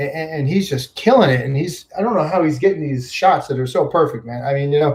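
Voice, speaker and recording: Somewhat breathy, a man with an American accent races along at a very fast pace with hardly any pauses and ordinary pitch variation. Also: fairly high pitch for a man. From upstate New York. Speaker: YouTube vlogger. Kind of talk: livestream chat with viewers. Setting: home livestream on computer. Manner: casual, filler-heavy.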